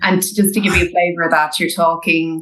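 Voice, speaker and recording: Here is a woman with an Irish accent. Her pitch is fairly low. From Ireland. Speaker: recruitment specialist. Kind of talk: podcast interview.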